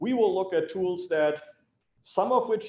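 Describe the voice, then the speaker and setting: The speaker has a German accent and keeps a moderate pace, with audible room echo. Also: man. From Germany, Hamburg. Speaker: civil engineer. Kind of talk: lecture.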